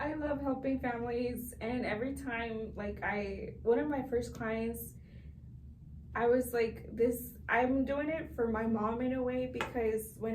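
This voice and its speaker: In a Spanish accent, a woman speaks fairly slowly at a fairly high pitch with fairly even intonation, with noticeable background noise and audible room echo. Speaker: realtor. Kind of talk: interview.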